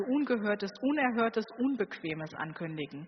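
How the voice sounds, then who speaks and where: Against noticeable background noise, a woman talks at a moderate pace in a calm, gentle tone, her pitch swinging very widely. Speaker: preacher. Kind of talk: sermon in a church, warm and personal, addressing the congregation. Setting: church. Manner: calm, earnest, conversational, with gentle inviting appeals.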